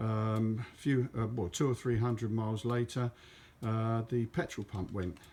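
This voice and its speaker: This man has a dark, mellow tone and a medium pitch, with a southern English accent. He talks at a moderate pace. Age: 70s. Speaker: motorcyclist vlogger. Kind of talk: casual monologue. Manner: halting.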